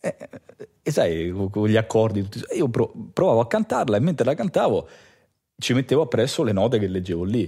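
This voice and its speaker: At a moderate pace and medium pitch, a man speaks with lively intonation and a dark, mellow tone. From Rome, Italy. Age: 30s. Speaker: bass player. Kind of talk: casual chat.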